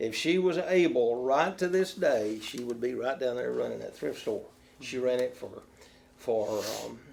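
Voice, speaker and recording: A man talks at a fairly slow pace. There is noticeable background noise behind him. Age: 80s. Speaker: retired police officer, children's home leader. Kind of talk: interview answer.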